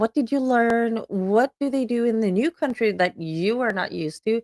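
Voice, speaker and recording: In a Swedish accent, a woman speaks at a moderate pace with fairly high pitch. The recording is very clean, with a silent background and a dry, close sound with no echo. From Sweden. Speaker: podcast host. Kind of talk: show introduction.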